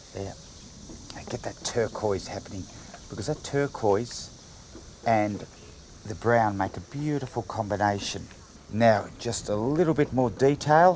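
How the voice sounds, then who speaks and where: A man's medium-pitched voice in an Australian accent, with ordinary pitch variation at a moderate pace. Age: 60s. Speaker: painter. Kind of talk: tutorial. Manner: casual.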